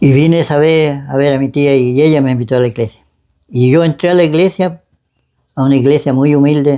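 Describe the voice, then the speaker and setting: A man's dark, mellow voice with fairly even intonation and very even loudness. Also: fairly high pitch for a man, fairly quick pace. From Chile, Biobío region. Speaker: church member giving testimony. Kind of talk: testimony interview. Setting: at his home. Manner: halting.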